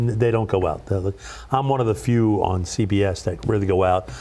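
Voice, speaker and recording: Fairly quick and medium in pitch, a man's dark, mellow voice carries an American accent and ordinary pitch variation. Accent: Brooklyn accent, toned down a little. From Brooklyn, New York. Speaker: radio DJ. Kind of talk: casual interview chat. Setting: TV studio.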